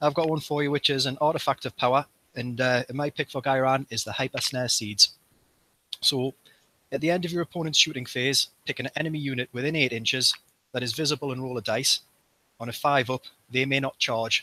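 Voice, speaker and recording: A man talks at a fairly quick pace in a medium pitch, with a bright, sharp tone, fairly even intonation, and a dry, close sound with no echo. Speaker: tabletop gaming club member, podcast host. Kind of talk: casual chat.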